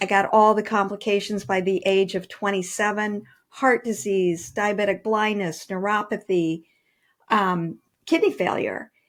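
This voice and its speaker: A woman with a normal speaking voice talks at a fairly slow pace, her medium pitch showing ordinary variation. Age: 60s. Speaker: author and personal trainer. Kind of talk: interview.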